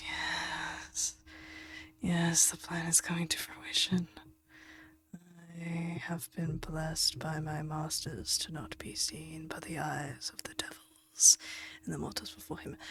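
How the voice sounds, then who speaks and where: A raspy, put-on character voice at a middle pitch and fairly slow pace, with long, frequent pauses. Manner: muttering under his breath; conspiratorial.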